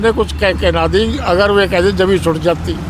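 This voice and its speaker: Noticeable background noise under a high-pitched male voice. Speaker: former village head. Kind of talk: street interview.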